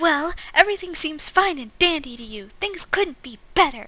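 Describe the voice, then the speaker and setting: Extremely high, put-on character voice from a woman. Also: moderate pace. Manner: sarcastic.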